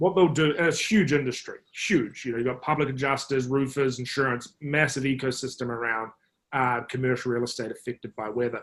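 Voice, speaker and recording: The speaker has a New Zealand accent and talks at a fairly quick pace. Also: man, medium pitch for a man, ordinary pitch variation. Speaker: marketing executive. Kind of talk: podcast interview. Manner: hesitant, many fillers.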